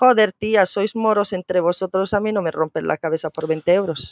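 A woman with a normal speaking voice, moderate pace and ordinary pitch variation. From Morocco, Tangier. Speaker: immigrant sharing experience. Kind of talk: casual chat.

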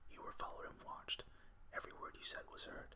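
A put-on character voice comes out as a hissing whisper. The pace is very fast. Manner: hissing, accusing, menacing.

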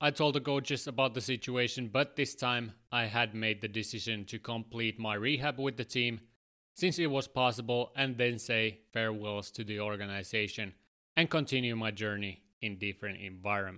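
With a Finnish accent, a man speaks at a moderate pace and a medium pitch. His tone is bright and sharp, with ordinary pitch variation. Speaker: sports podcast host. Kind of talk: solo podcast monologue.

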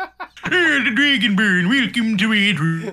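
Putting on a character voice with a Swedish accent, a man speaks high-pitched and fairly slowly in a playful tone, his pitch swinging very widely. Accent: mock Swedish. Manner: mocking, playful.

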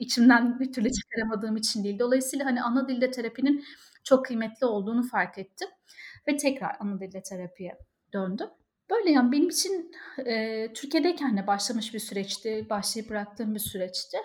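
Using an unremarkable speaking voice, a woman talks at a fairly high pitch and a fairly quick pace with lively intonation. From Turkey (Ankara, İzmir). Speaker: online community founder. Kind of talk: casual chat.

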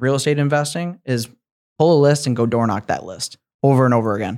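At a fairly quick pace, a man with an American accent speaks in an unremarkable speaking voice of medium pitch, with fairly even intonation. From Michigan (Sparta, near Grand Rapids). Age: 20s. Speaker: real estate investor. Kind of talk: podcast interview.

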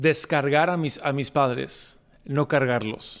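With a plain, everyday voice, a man talks at a fairly high pitch with ordinary pitch variation. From Lima, Peru. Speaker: pastor. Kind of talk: interview. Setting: video call.

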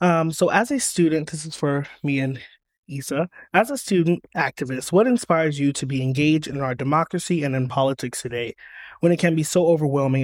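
A man with an American accent speaks at a fairly quick pace with ordinary pitch variation, in dry, close sound with no echo on a very clean recording with a silent background. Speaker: student activist. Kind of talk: panel discussion. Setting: stage with audience.

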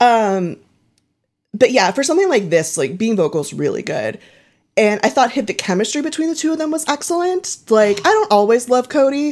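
At a fairly quick pace, a woman with a Southern Californian accent speaks in a high pitch with very wide pitch swings, on a very clean recording with a silent background. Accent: general American, Southern Californian. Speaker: wrestling section head, co-host. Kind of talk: casual chat.

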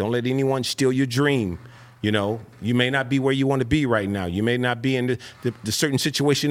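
Very clean recording, silent background. A man speaks at a fairly quick pace with ordinary pitch variation. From South Central Los Angeles. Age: 50s. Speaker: financial educator. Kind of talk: casual interview.

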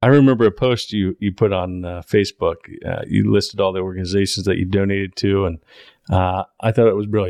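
Over a quiet background, a man with an American accent has an unremarkable speaking voice at a fairly low pitch, with fairly even intonation and a dry, close sound with no echo. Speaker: podcast host. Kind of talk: casual interview conversation.

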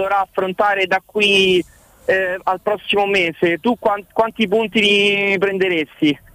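Keeping to a moderate pace, a man speaks in a high, monotone voice with flat intonation. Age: 30s. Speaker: caller. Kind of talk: casual chat. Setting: phone call. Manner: halting.

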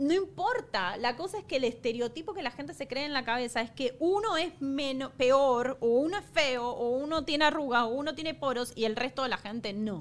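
A woman with a high voice talks at a moderate pace with hardly any pauses. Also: lively intonation. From Argentina. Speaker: makeup artist. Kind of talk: casual chat.

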